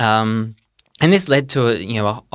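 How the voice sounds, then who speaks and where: Recorded very cleanly over a silent background, a man with an Australian accent speaks at a moderate pace in a medium pitch with ordinary pitch variation. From Perth, Western Australia. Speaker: doctoral researcher in anthropology. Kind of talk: interview.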